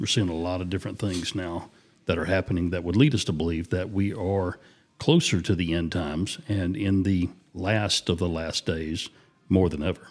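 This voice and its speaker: In a very clean recording with a silent background, a man with a Southern US accent and a very deep, low voice speaks at a moderate pace with fairly even intonation. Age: 50s. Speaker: podcast co-host. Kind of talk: casual chat.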